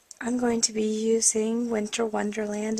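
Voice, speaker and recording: Noticeable background noise fills the recording. Over it, a woman talks in a fairly high voice. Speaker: card-making tutorial host. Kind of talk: tutorial.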